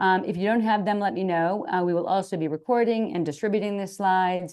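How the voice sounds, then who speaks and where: Against a quiet background, a woman with a normal speaking voice and an American accent talks fairly quickly at a medium pitch with ordinary pitch variation. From Boston area, US. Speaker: occupational therapist and webinar co-host. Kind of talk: webinar introduction.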